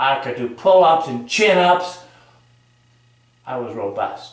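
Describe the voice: In strong room echo, a man speaks slowly at a medium pitch with lively intonation.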